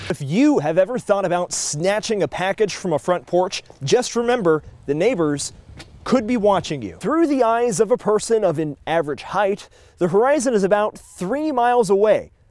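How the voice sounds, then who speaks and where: A man talks at a moderate pace. His voice is high-pitched, with lively intonation. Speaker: TV news reporter and anchor. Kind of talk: TV news reporter narration and stand-ups.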